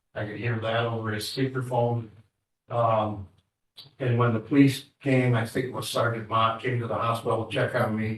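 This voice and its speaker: A man with a medium pitch speaks in a monotone, flat intonation, sounding somewhat breathy. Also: moderate pace. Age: 60s. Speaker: assault victim. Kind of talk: victim statement in court. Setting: courtroom. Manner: halting.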